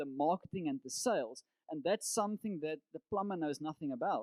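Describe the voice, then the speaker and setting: A man talks at a fairly quick pace with lively intonation. The sound is dry and close, with no echo. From South Africa, Cape Town. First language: Afrikaans. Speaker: business coach and entrepreneur. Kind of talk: presentation talk.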